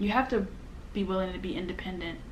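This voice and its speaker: Amid audible room echo, a woman with an American accent speaks at a medium pitch and a fairly quick pace. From United States. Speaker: YouTuber, travel vlogger. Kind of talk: casual sit-down storytime. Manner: animated, conversational.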